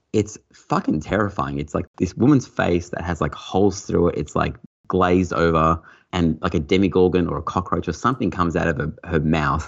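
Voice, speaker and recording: A man with an Australian accent speaks at a fairly quick pace in a very deep, low voice. His pitch varies in an ordinary way. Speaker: podcast guest and pinball fan. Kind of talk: casual chat.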